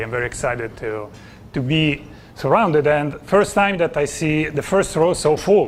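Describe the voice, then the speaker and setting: A man with an Italian accent talks at a moderate pace in a fairly high voice with ordinary pitch variation. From Italy. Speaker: business coach. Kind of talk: conference presentation. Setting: stage with audience.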